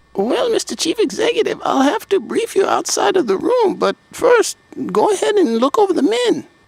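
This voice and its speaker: Using a put-on character voice, a man pitches himself extremely high. His delivery moves at a moderate pace. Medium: audio drama. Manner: deferential, formal.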